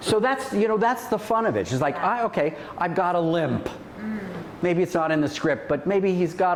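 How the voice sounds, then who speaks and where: With audible room echo and noticeable background noise, a man is heard. He speaks at a moderate pace with a fairly high pitch. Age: 70s. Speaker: actor and acting teacher. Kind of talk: casual chat.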